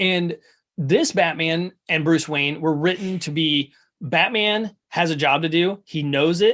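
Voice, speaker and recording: A man's high voice, animated in tone, at a fairly slow pace with ordinary pitch variation. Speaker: podcast host. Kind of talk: casual chat. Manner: stutters at moments.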